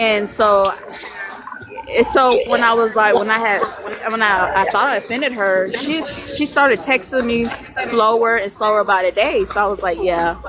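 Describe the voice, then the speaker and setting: A woman with a fairly high pitch and ordinary pitch variation talks while music plays in the background. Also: moderate pace. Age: 20s. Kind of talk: casual chat. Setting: live stream.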